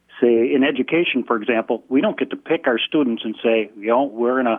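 A man speaks at a medium pitch with an American accent, in a normal speaking voice. His pitch varies in an ordinary way. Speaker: public school employee. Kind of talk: call-in radio comment. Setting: phone call.

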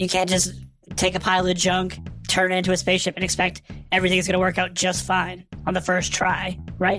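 A raspy, female-sounding put-on character voice at a medium pitch, moving at a fairly quick pace over faint background music. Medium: read story. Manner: confident, breezy.

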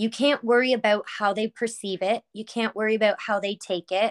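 A woman talks at a moderate pace with a fairly high pitch and fairly even intonation. The recording is very clean with a silent background and a dry, close sound with no echo. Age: 20s. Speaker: spiritual healer and shop owner. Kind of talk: casual interview chat.

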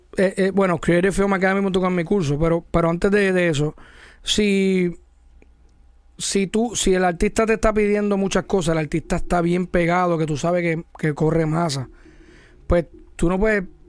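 A man with a high pitch speaks at a moderate pace with fairly even intonation. The recording is very clean, with a silent background. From Puerto Rico, Mayagüez. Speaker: music video director. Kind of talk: casual interview.

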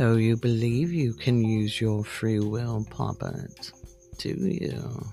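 A man does a put-on character voice at medium pitch, with lively intonation and a very slow pace. Clear music plays in the background. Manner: imperious, mocking.

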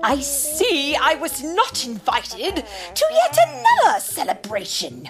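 A put-on character voice, high-pitched, with very wide pitch swings and faint music in the background. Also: fairly slow pace. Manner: cool, cold.

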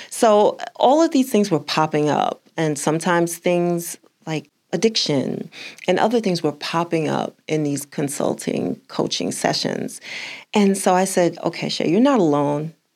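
A woman speaks with an American accent in a normal speaking voice. Her pitch is fairly low, her intonation lively and her pace fairly slow. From US South. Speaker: author and speaker on faith and parenting. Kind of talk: casual interview conversation.

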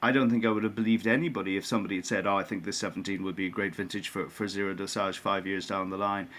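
A man talks very fast in a fairly low voice. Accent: Irish. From Ireland. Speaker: winemaker. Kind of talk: interview. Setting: remote from honeymoon abroad. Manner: hesitant, repeats words.

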